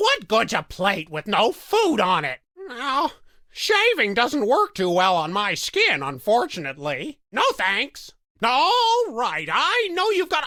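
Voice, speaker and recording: A put-on character voice from a man, extremely high in pitch and at a fairly slow pace. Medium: video game. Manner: chatty, rambling, hesitant.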